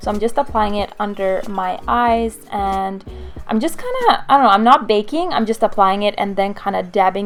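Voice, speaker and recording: A woman talks at a medium pitch with noticeable background noise in the clip. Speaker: beauty vlogger. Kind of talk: makeup tutorial voiceover.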